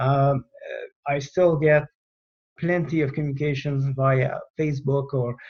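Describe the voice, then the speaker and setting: A somewhat breathy man with a strong Quebec accent talks at a moderate pace with fairly even intonation. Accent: thick French Canadian. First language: French. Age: 50s. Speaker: retired air force general. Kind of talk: podcast interview. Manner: halting, many fillers.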